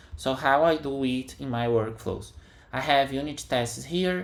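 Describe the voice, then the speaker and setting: A man with a medium-pitched voice talks over audible room echo. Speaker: software developer. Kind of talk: tutorial. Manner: halting.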